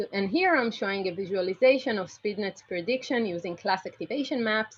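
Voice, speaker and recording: A woman speaks at a fairly quick pace with a fairly high pitch, lively intonation and a somewhat breathy quality. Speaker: computer vision researcher. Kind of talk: lecture. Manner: fast.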